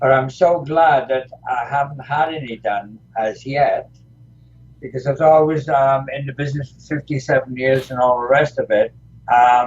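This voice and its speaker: A somewhat breathy, fairly high male voice. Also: fairly even intonation, moderate pace. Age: 70s. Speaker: retired pro wrestler. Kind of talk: interview. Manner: halting, many fillers.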